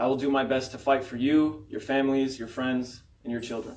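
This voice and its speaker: With an American accent, a man speaks at a medium pitch and a fairly quick pace in a normal speaking voice. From Florida (Tampa area). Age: 20s. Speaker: political candidate. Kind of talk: campaign speech. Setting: candidates forum with audience.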